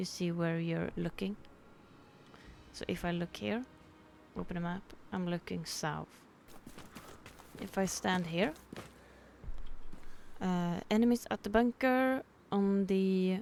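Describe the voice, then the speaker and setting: A woman with a Swedish accent at medium pitch, very slow pace and long, frequent pauses, music in the background. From Sweden. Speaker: gamer. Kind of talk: game tutorial commentary. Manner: casual.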